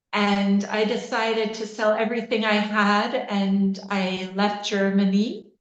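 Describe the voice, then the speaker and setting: Audible room echo surrounds a woman with a Canadian accent and medium pitch speaking at a very slow pace. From Canada, Waterloo Ontario. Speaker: osteopath and coach. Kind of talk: podcast interview. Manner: hesitant with many fillers.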